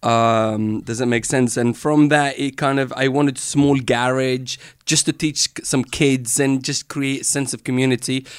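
A man's normal speaking voice, medium in pitch, at a moderate pace with fairly even intonation, in a dry, close sound with no echo on a very clean recording with a silent background. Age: 40s. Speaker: entrepreneur, former dancer and choreographer. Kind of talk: casual interview.

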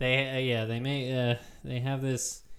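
An unremarkable speaking voice belongs to this man. His pitch is medium. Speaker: podcast host. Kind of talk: casual chat.

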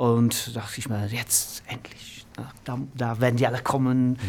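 Somewhat breathy and monotone with flat intonation, a man speaks very slowly at medium pitch. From northern England, Manchester. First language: English (speaking German). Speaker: music producer and manager. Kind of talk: interview.

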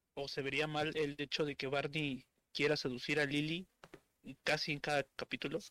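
A fairly high-pitched man at a moderate pace, flat and monotone, in a dry, close sound without echo. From Estado de México, Mexico. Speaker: meme page administrator. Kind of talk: casual chat.

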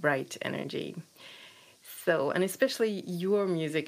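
A woman speaks with a German accent. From Eastern Germany. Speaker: podcast host. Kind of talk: interview.

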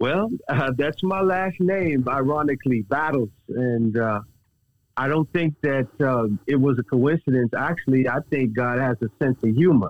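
Recorded dry and close with no echo, a man with an American accent speaks at a fairly slow pace and medium pitch, with ordinary pitch variation, very even loudness and an unremarkable speaking voice. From Texas. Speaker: minister sharing his testimony. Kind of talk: testimony. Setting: phone call.

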